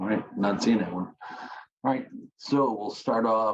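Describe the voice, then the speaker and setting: A man mumbles. His pitch is fairly low. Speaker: committee chair. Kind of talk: public meeting. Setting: video call. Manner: mumbling.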